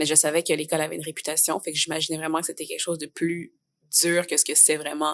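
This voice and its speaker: Over a silent background on a very clean recording, a woman with a Quebec accent speaks at a very fast pace in a very deep, low pitch and a monotone, flat intonation, the sound dry and close with no echo. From Quebec, Montreal. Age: 20s. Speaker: theatre student. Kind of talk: podcast interview. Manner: casual, many fillers.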